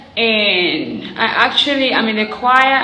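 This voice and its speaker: A woman is heard over noticeable background noise, with audible echo from the room. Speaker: prophetic prayer YouTuber. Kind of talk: personal testimony vlog. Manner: quieter, weaker than usual.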